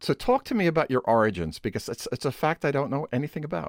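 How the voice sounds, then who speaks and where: A man with a Brooklyn accent, fairly high pitch, vocal fry and very wide pitch swings, in a dry, close sound with no echo on a very clean recording with a silent background. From New York City, Brooklyn. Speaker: interview host, composer. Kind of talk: interview conversation.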